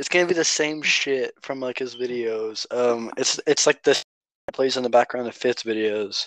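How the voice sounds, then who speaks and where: A man with an unremarkable speaking voice talks at a medium pitch and moderate pace, with ordinary pitch variation. The sound is dry and close with no echo. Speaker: podcast co-host. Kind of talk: casual banter. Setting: phone call.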